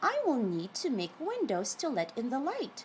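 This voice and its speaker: A woman uses a put-on character voice, high in pitch and gentle in tone. She speaks at a moderate pace over clear background noise. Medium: read story. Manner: kind, gentle.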